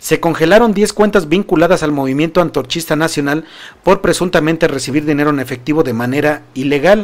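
Speaking at a fairly quick pace, a man has a fairly high pitch and ordinary pitch variation. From Mexico. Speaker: political news commentator. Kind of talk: news commentary livestream. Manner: animated. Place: studio. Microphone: studio mic.

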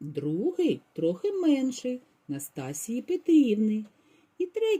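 What you hear is plain reading aloud.

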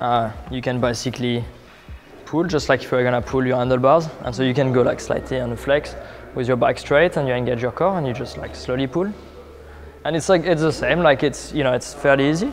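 Over faint background music, a man talks at a fairly quick pace with ordinary pitch variation. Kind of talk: tutorial. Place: gym. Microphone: lapel.

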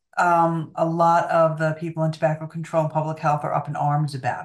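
A woman with an unremarkable speaking voice, fairly low pitch and moderate pace, in a quiet background. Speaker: remote guest. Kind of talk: interview answer. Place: home room. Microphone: video call.

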